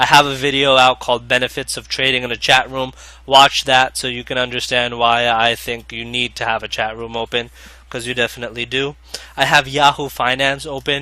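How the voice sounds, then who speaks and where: A man's bright, sharp tone sits at a medium pitch, moving at a fairly quick pace with monotone, flat intonation. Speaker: day trading video creator. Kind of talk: tutorial. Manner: fast.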